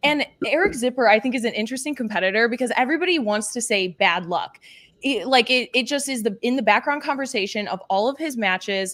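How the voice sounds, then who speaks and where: Energetic in tone, a woman speaks very fast at a high pitch with lively intonation. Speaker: panelist. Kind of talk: casual chat.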